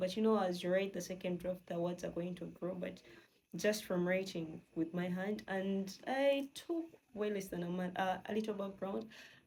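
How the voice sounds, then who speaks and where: A woman of medium pitch talks at a moderate pace, her voice somewhat breathy. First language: not English. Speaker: novelist and video creator. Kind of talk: casual vlog talk. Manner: many fillers and false starts.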